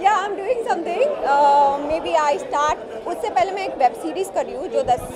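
Extremely high-pitched, a woman speaks at a moderate pace, her pitch swinging very widely. Her loudness varies greatly over crowd noise in the background. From Bengal, India. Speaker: actress. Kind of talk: red-carpet interview. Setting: film premiere with press. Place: hall. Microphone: handheld.

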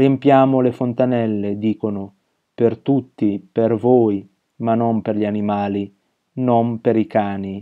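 At a very slow pace, a man speaks at medium pitch with monotone, flat intonation. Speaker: poet reading his own poem. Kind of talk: poetry reading. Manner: measured, rhythmic, deliberate; contemplative, with pauses between images.

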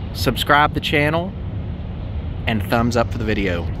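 A man at a moderate pace, with light background noise and a dry sound free of echo. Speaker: thrift reseller vlogger. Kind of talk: casual vlog chat. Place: street. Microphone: phone near.

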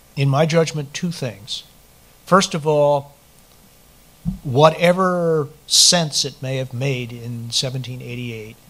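A man talks at a very slow pace. His pitch variation is ordinary. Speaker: political scientist; speaker. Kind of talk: panel talk. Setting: stage with audience. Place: hall. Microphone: podium.

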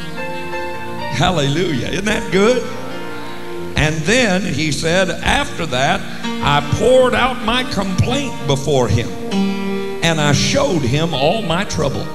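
With loud music in the background, a man speaks at a very slow pace. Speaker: preacher. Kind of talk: sermon. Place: church. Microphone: handheld.

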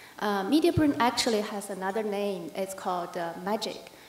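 Amid light background noise and audible room echo, a woman speaks at a moderate pace. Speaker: conference speaker, news editor. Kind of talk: conference presentation. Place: hall. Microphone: podium.

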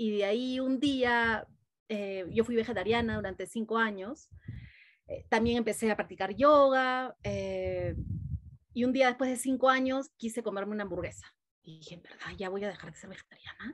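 A woman's fairly high voice at a moderate pace, with ordinary pitch variation and big swings in loudness, against a quiet background. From Peru. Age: 40s. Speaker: mindfulness teacher; interview guest, mindfulness teacher. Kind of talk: casual interview; guided meditation. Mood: warm, smiling, animated. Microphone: video call.

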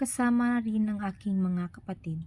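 Somewhat breathy and dark, mellow in tone, a woman with medium pitch and ordinary pitch variation speaks at a fairly slow pace. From Philippines, Bohol. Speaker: vlogger. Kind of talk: personal narrative, read aloud. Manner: halting.

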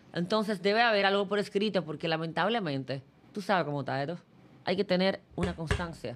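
Very fast speech with ordinary pitch variation comes through over light background noise. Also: woman, fairly low pitch for a woman. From Dominican Republic. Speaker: sports journalist. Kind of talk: casual interview. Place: studio. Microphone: studio mic.

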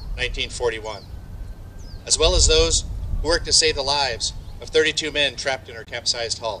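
A man keeps a moderate pace as light noise runs in the background. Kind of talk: ceremonial speech. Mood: solemn, respectful. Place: open country. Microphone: podium.

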